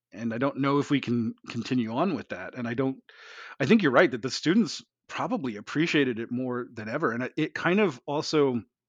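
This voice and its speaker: Recorded with dry, close sound and no echo, a man of medium pitch speaks at a fairly quick pace with ordinary pitch variation. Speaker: university teaching professor. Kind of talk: casual interview chat. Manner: fast talker.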